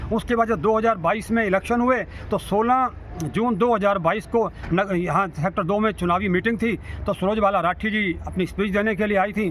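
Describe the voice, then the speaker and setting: Keeping a very even loudness, a man speaks at a moderate pace in a high voice with fairly even intonation. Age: 60s. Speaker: social worker. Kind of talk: interview statement on civic issues. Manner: halting, with stammered restarts.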